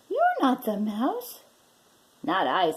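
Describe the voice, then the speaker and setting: Putting on a character voice, a woman talks. The pitch sits high. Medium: read story.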